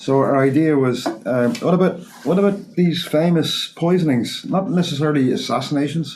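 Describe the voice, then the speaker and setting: In an Irish accent, a man with a fairly high pitch talks with lively intonation, very even loudness and hardly any pauses, with audible room echo and noticeable background noise. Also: moderate pace. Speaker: molecular toxicologist, podcast host. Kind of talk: casual chat. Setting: studio.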